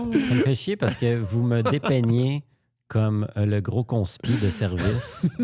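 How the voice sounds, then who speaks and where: A man speaks at a very slow pace. His loudness stays very even. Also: medium pitch for a man, ordinary pitch variation. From rural Quebec. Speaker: comedian and podcast co-host. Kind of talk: casual chat.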